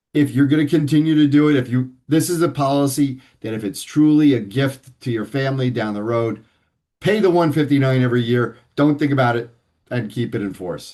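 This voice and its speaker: This is an ordinary speaking voice, moving at a fairly quick pace with ordinary pitch variation. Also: man. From New York City (Manhattan). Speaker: financial advisor. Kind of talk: interview.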